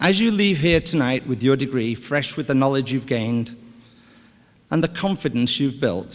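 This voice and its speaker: A man speaks at medium pitch and a moderate pace. His intonation is lively. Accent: British. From United Kingdom. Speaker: business executive. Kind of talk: commencement speech. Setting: stage with audience. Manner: formal.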